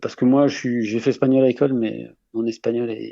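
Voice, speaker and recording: A man speaks at a moderate pace. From France, Haute-Savoie. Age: 40s. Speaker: long-distance hiker with animals. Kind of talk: radio interview. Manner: halting, many repetitions and fillers.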